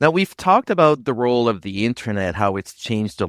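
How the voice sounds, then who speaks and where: A man speaks fairly quickly with ordinary pitch variation, in an unremarkable speaking voice. The recording is very clean and dry, close and echo-free, with a silent background. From northern New Brunswick, Canada. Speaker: podcast host. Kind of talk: podcast interview.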